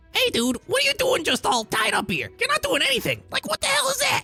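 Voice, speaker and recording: Speaking loudly at a fairly quick pace in a put-on character voice, with faint music in the background. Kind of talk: casual, slangy. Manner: mocking, ridiculing.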